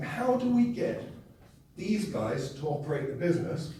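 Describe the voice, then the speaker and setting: Against noticeable background noise and audible room echo, a man talks with very wide pitch swings. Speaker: keynote speaker. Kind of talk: keynote speech. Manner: fast.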